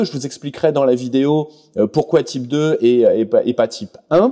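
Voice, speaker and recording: The pace of this man's speech is fairly slow. His tone is dark and mellow. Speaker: scale model reviewer. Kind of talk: product review. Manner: hesitant, many fillers.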